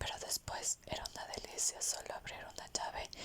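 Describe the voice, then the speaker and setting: Through noticeable background noise comes a fairly slow whisper. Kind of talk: whispered audiobook reading (ASMR). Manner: whispered.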